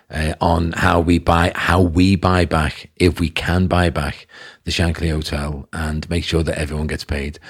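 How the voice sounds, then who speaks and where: A man with a Liverpool accent speaks in a very deep, low, somewhat breathy voice with monotone, flat intonation, on a very clean recording with a silent background. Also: fairly slow pace. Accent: Scouse (Liverpool). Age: 50s. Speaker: businessman. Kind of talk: podcast interview.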